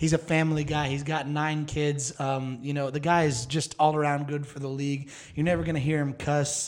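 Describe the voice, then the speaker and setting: A man with a normal speaking voice talks at a moderate pace, his pitch fairly high and his intonation fairly even. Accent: American. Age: 30s. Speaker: podcast host. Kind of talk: casual chat.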